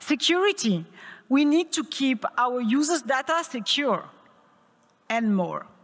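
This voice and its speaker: In a French accent, a woman with a high pitch and very wide pitch swings speaks at a fairly slow pace with long, frequent pauses and very even loudness, on a very clean recording with a silent background. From France. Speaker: tech conference speaker. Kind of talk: conference talk. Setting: stage with audience.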